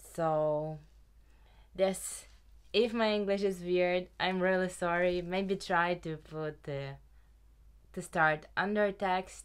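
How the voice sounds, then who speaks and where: A woman speaks very slowly with a Ukrainian accent, her fairly low voice keeping a fairly even intonation and broken by long, frequent pauses. The recording is very clean, with a silent background. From Ukraine. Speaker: knitting podcaster. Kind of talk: casual chat.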